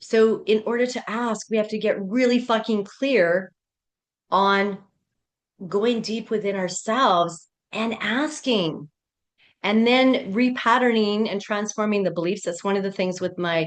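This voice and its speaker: A woman with a fairly high pitch, ordinary pitch variation and an animated tone, fairly slow, against a quiet background. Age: 60s. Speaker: pleasure and life coach. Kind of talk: live coaching workshop. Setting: video call.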